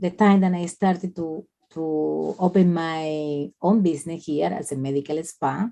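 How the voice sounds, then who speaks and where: This woman has a Colombian accent and a dark, mellow tone. Her pitch sits fairly low, with ordinary variation. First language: Spanish. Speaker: nurse and spa owner. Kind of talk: interview. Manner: halting.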